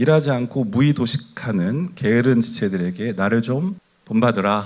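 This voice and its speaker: A man talks at a moderate pace in a plain, everyday voice. His intonation is lively. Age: 50s. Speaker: pastor. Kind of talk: sermon.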